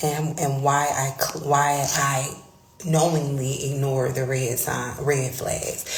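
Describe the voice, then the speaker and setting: A woman whispers amid noticeable background noise and audible room echo. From Florida, Palm Beach County. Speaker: career coach. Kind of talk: livestream monologue. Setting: public space, live stream. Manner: whispering; hesitant, filler words.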